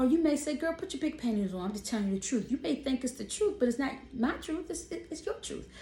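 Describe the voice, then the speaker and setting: Woman with a high-pitched voice. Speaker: vlogger. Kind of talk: casual monologue. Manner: animated; loud.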